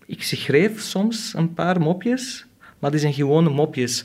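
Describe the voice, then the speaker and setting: A man with an Arabic accent speaks at a very slow pace. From Syria (Aleppo). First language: Arabic (speaking Dutch). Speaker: comedian. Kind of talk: casual interview.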